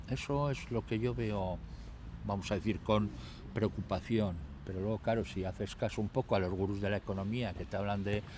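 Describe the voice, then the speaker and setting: Vocal fry runs through this man's voice, and his pitch moves up and down in an ordinary way. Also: fairly low pitch for a man, moderate pace. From Basque Country, Trapagaran (Biscay). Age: 60s. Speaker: mayor. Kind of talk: interview.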